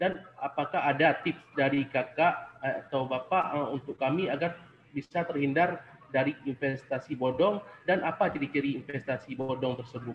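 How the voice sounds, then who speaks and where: A man with a Sumatran accent, fairly high-pitched, at a moderate pace with ordinary pitch variation, amid noticeable background noise. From Aceh, Indonesia. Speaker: webinar participant. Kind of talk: audience question.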